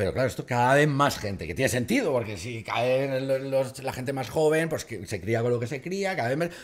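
Lively intonation marks a man's moderate pace. He leaves hardly any pauses against a quiet background. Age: 40s. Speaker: comedian. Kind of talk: casual chat. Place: studio. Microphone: studio mic.

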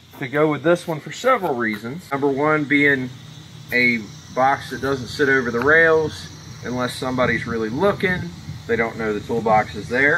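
Light background noise accompanies a man speaking at a moderate pace with ordinary pitch variation. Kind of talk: tutorial. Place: garden.

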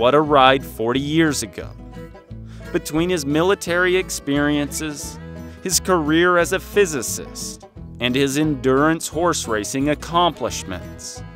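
Music plays in the background behind a man with a fairly high voice. He speaks at a fairly slow pace, his pitch swinging very widely. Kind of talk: documentary narration.

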